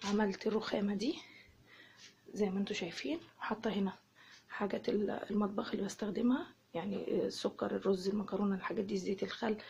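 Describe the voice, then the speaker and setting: A soft-spoken woman at a fairly quick pace, with ordinary pitch variation and very even loudness. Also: medium pitch for a woman. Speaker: home vlogger, mother. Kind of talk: casual home tour vlog. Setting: at home.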